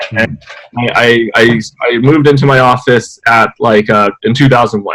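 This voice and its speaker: Here a man talks at a moderate pace with medium pitch and fairly even intonation. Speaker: software programmer. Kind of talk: interview. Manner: halting, many fillers.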